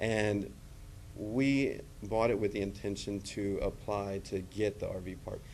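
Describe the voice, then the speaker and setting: A man with an American accent speaks at a fairly low pitch. His intonation stays fairly even, and room echo is audible. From Texas, Gregory. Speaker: public commenter. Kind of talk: public comment at council meeting. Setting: city council meeting. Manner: halting, many fillers.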